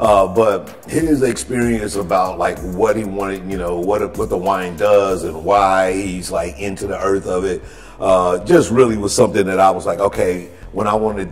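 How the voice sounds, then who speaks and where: Here a man talks at a moderate pace in a fairly low pitch. Light background noise sits behind him. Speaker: guest. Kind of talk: interview answer. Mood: warm, reflective. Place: cellar.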